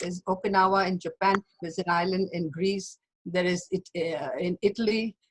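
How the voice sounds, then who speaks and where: A woman talks at a moderate pace, somewhat breathy, in a dry, close sound with no echo. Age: 80s+. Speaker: doctor giving a lecture on aging. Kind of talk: Q&A after a lecture.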